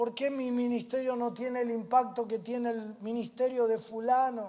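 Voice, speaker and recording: A man with a Rioplatense accent speaks at an extremely high pitch. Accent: Argentine Rioplatense Spanish. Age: 60s. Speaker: pastor. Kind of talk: sermon. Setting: church. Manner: repetitive emphatic preaching.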